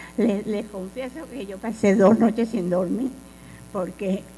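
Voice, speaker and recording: With audible room echo, a woman at medium pitch talks at a fairly slow pace and with fairly even intonation. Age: 80s+. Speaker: former student activist. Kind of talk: lecture.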